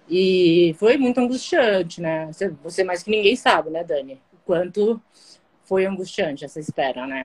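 A plain, everyday voice moves at a fairly slow pace with lively intonation. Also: woman, fairly low pitch for a woman. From Guarujá, São Paulo coast, Brazil. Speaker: kidney transplant patient. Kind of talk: casual interview on a live stream. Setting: live video stream.

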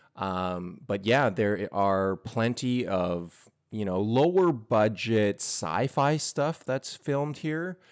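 Speaking very slowly yet with hardly any pauses, a man with a western Canadian accent uses lively intonation on a very clean recording with a silent background. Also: medium pitch for a man. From Edmonton, Alberta, Canada. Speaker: podcast guest. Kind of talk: casual chat.

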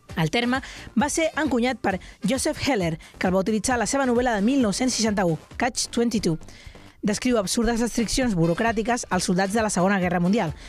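Speaking at a moderate pace, a woman with a fairly high pitch uses lively intonation while her loudness stays very even. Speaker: radio show host. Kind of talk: casual chat. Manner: energetic.

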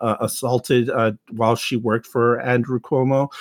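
An American-accented man at medium pitch and moderate pace, monotone and flat, in a dry, close sound with no echo. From Texas. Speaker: podcast host. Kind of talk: casual chat.

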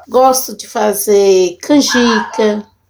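A woman's fairly high voice, fairly even in intonation, at a very slow pace. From Belo Horizonte, Brazil. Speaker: community cook. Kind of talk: interview.

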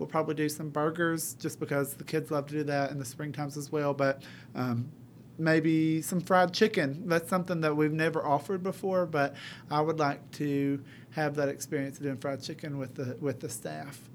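In an East Tennessee accent, the voice comes through on a very clean recording with a silent background. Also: man, fairly even intonation, moderate pace. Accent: East Tennessee Southern American. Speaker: high school culinary teacher. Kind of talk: interview.

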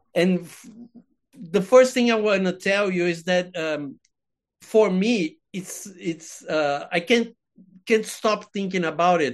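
A man with a Portuguese accent speaks with a high pitch and ordinary pitch variation. The background is quiet. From Brazil. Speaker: podcast host and film critic. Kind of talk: casual interview; podcast intro. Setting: video call. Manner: halting.

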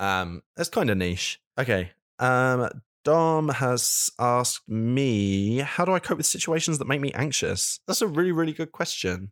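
This man, at a medium pitch, talks at a fairly slow pace with very wide pitch swings. The recording is very clean with a silent background, and the sound is dry and close with no echo. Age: 20s. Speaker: podcast host. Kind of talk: casual chat. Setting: living room sofa. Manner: halting.

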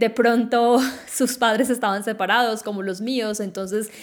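A woman talks at a moderate pace. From Colombia, Quindío. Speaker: podcast host. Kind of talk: solo podcast monologue.

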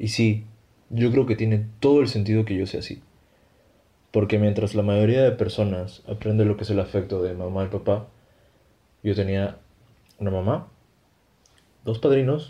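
A man's fairly low, dark, mellow, somewhat breathy voice at a moderate pace, with fairly even intonation and long, frequent pauses. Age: 30s. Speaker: illustrator and podcast creator. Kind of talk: scripted comedy dialogue.

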